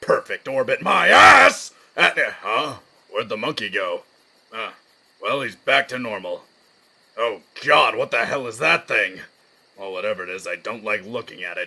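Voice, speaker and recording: A man pauses long and often while keeping a moderate pace. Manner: smug, irritable.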